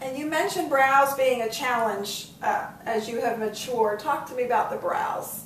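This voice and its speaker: Over noticeable background noise, a woman speaks at a high pitch and a moderate pace. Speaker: beauty host, former cosmetics business manager. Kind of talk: makeup tutorial demonstration.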